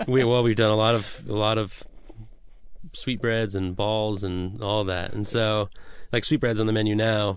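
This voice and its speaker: Someone with an American accent speaks at a moderate pace in an ordinary speaking voice with fairly even intonation. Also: man, fairly low pitch for a man. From US Pacific Northwest, Washington state. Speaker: chef. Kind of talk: radio interview. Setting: radio studio.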